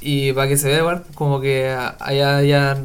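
Audible room echo colors the recording. The speaker is a man. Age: 20s. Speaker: trap musician. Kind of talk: casual chat.

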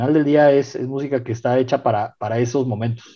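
His tone is dark and mellow. The man speaks at a fairly quick pace. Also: quiet background. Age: 30s. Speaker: DJ and music curator. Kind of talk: casual chat.

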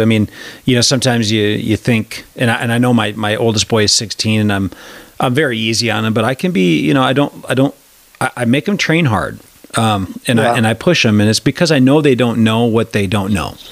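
With an American accent, a man of medium pitch talks at a fairly quick pace in a plain, everyday voice, his loudness very even. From Wisconsin. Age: 40s. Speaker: podcast host. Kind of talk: casual interview chat.

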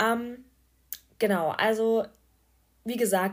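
A woman speaking in a monotone, flat intonation. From Germany, small rural town. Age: 20s. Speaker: podcaster, student. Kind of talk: casual monologue. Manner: hesitant, many fillers.

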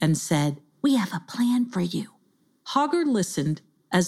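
What we hear is an unforced reading voice.

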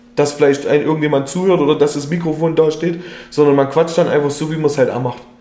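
Against noticeable background noise and audible room echo, a man with a fairly high pitch speaks at a moderate pace. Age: 30s. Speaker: podcast co-host. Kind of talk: casual chat.

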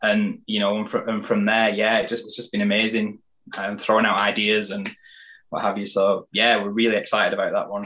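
His speech moves fairly quickly. This man has a British accent. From UK. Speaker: candle maker and entrepreneur. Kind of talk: casual interview.

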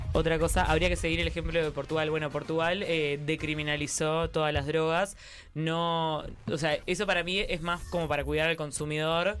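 Music plays in the background as a man speaks at a moderate pace in a fairly high, flat, monotone voice. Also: very even loudness. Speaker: stream co-host. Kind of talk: casual chat. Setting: live stream.

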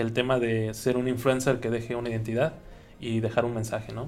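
A man talking at a fairly quick pace. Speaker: podcast co-host. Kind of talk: casual podcast chat. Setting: home studio. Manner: hesitant with many fillers. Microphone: new recording equipment.

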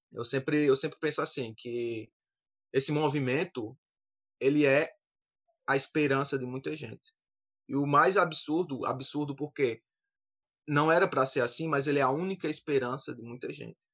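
A man speaks at a moderate pace with a fairly high pitch. He takes long, frequent pauses. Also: fairly even intonation. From Campina Grande, Paraíba, Brazil. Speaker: synagogue community leader. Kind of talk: panel discussion.

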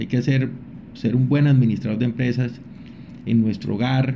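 Over audible room echo, a man talks at a fairly slow pace in a somewhat breathy voice with a dark, mellow tone, medium pitch, and ordinary pitch variation. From Colombia, Santander. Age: 50s. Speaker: company director, chemical engineer. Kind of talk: interview. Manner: halting, frequent repetitions and fillers.

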